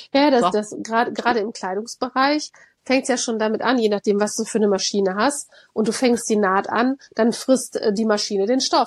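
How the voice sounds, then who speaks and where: A woman talks at a fairly quick pace in a normal speaking voice, fairly high in pitch with ordinary pitch variation. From Rhineland, Germany. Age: 40s. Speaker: creative workshop trainer. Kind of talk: casual chat.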